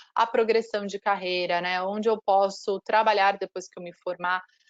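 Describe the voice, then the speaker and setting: At a fairly slow pace, a woman with a normal speaking voice talks in a medium pitch with fairly even intonation, the sound dry and close with no echo. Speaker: university marketing representative. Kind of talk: online presentation.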